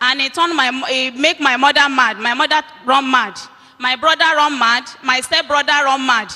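Over noticeable background noise, a woman with a Nigerian accent uses a raised, projected voice, high in pitch, at a moderate pace with fairly even intonation. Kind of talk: testimony. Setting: church.

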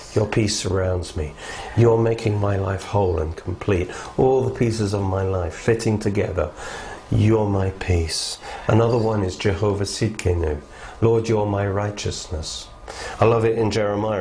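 A man speaks at a moderate pace with a fairly low voice. Noticeable background noise runs underneath. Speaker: Bible teacher. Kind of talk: fervent prayer. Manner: earnest, fervent.

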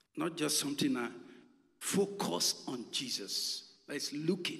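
A man with a Nigerian accent speaks with very wide pitch swings. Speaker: pastor. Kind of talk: sermon. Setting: church.

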